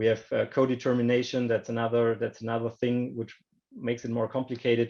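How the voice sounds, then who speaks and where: Speaking at a very fast pace, a man with a German accent holds a medium pitch and a monotone, flat intonation. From Germany. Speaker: banking industry panelist. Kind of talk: panel discussion. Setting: online video call. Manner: halting, many repetitions and fillers.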